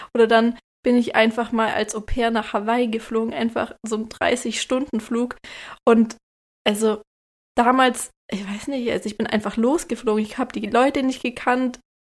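A woman speaks in a fairly high pitch at a moderate pace. Her intonation is monotone and flat. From Lake Constance region, southern Germany. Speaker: podcast host, expectant mother. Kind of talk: casual chat.

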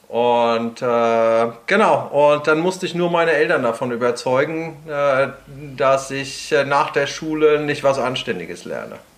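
Speaking at a very slow pace, a man with a fairly high pitch and ordinary pitch variation is heard against noticeable background noise. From Prague, Czech Republic. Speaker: guitarist and guitar teacher. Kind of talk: casual interview.

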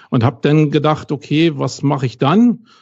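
A man speaks at a moderate pace with a Berlin accent. His pitch shows ordinary variation. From West Berlin. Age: 40s. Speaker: SEO consultant. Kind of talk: podcast interview.

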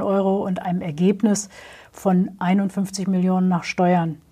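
A woman speaks in a somewhat breathy, medium-pitched voice with a dark, mellow tone. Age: 50s. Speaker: trade fair director. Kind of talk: interview.

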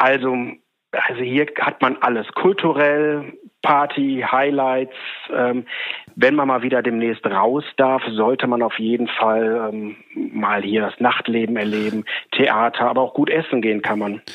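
The speaker has an unremarkable speaking voice. The pace is fairly slow and the intonation fairly even. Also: man, medium pitch for a man. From Ruhr area, Germany (Oberhausen). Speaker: agency owner. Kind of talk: interview. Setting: remote connection.

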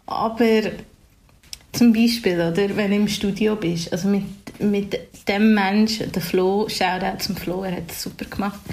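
Through audible room echo, a woman speaks at a fairly slow pace. Her medium-pitched voice is monotone, with flat intonation. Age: 20s. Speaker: singer and DJ. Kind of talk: casual interview. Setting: video call.

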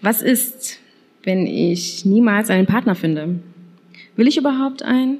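A woman speaks at a fairly slow pace with a fairly high pitch, lively intonation, very even loudness, and long, frequent pauses. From Saxony, eastern Germany. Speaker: podcast host. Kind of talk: casual chat.

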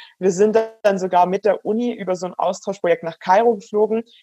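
A woman's dark, mellow tone in a dry, close sound with no echo. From Swabian Alb, Baden-Württemberg. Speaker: startup founder and cyclist. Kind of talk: interview.

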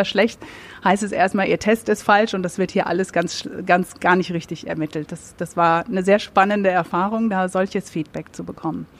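At a fairly quick pace, a woman speaks in an unremarkable speaking voice, medium in pitch with fairly even intonation. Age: 40s. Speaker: business consultancy managing director. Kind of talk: live podcast interview. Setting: live recording with audience.

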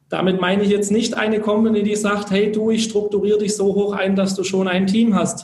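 Over noticeable background noise, a man speaks with a high pitch. His pace is fairly quick. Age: 20s. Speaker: network marketer, former direct sales. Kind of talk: interview.

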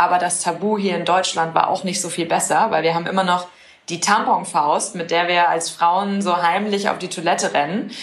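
A woman speaks at a moderate pace with a fairly low pitch. Audible room echo and noticeable background noise surround her voice. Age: 20s. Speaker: startup founder. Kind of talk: interview.

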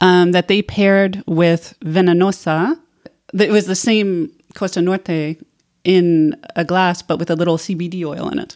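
A woman with an American accent and an unremarkable speaking voice, fairly low in pitch, moderate in pace, fairly even in intonation. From United States. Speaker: tequila enthusiast and bartender program participant. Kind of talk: casual chat.

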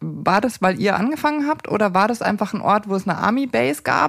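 A woman's normal speaking voice at medium pitch with lively intonation. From Upper Bavaria, near Erding. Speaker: radio editor and podcast host. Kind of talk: casual interview.

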